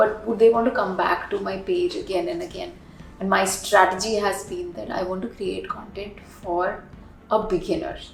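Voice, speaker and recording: A woman with an Indian accent talks at a moderate pace, with big swings in loudness. There is audible room echo and noticeable background noise. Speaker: yoga teacher and social media influencer. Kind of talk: interview.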